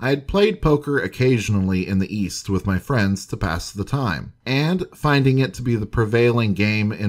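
Speaking at a moderate pace, a man uses a dramatic tone. His pitch sits fairly low. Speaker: history video narrator. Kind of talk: scripted narration of old newspaper stories, western true-crime storytelling. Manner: measured, formal, storyteller's pacing; steady, dramatic, informative.

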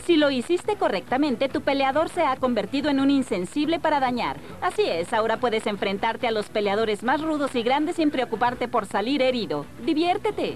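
A woman with a Latin American accent talks at a fairly quick pace in a high voice, with lively intonation, very even loudness and hardly any pauses. Noticeable background noise runs underneath. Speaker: voice actor. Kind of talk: TV video game review voice-over. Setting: studio.

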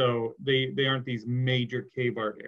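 The man's voice is somewhat breathy, at a moderate pace. The background is quiet. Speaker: teacher. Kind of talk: lecture. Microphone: webcam.

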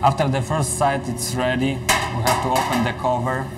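Medium-pitched male voice with little pitch movement over clear background noise. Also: moderate pace.

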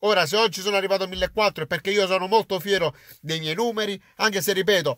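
Animated in tone, a man speaks at a high pitch. The sound is dry with no echo, and the background is quiet. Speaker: YouTuber, football fan commentator. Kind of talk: casual vlog monologue. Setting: in a car. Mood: proud, defiant, sincere. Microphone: phone near.

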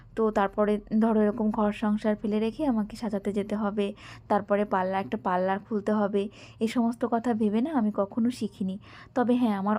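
The recording is very clean, with a silent background. A woman with a fairly high pitch and a dark, mellow tone speaks with fairly even intonation. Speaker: homemaker vlogger. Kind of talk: vlog voice-over. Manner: conversational.

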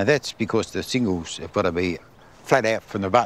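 With an unremarkable speaking voice, a man talks at a fairly low pitch with lively intonation, in a dry sound with no echo over light background noise. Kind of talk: interview answer. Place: garden.

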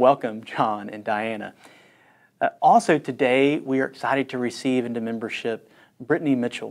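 Man with fairly even intonation against a quiet background. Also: moderate pace. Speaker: pastor. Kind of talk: church announcements to online congregation. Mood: warm, welcoming. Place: studio. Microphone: lapel.

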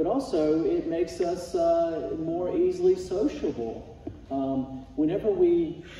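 A man speaks with ordinary pitch variation. Audible room echo and light background noise are present. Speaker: Sunday school teacher. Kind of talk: sermon. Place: church. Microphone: camera far.

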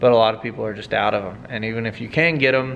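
Light background noise sits behind a man who talks at a fairly quick pace with ordinary pitch variation. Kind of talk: casual vlog chat. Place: workshop.

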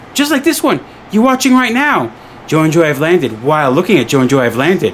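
Over light background noise, a man speaks at a high pitch that makes very wide swings. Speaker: travel vlogger. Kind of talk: casual vlog chat. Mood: playful, joking. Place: home room. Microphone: phone near.

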